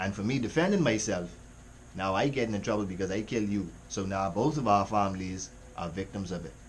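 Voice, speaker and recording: A man with a slight Jamaican accent, fairly low pitch and ordinary pitch variation, somewhat breathy, at a fairly quick pace amid audible room echo. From Caribbean. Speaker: music reaction youtuber. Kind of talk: casual reaction commentary. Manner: animated.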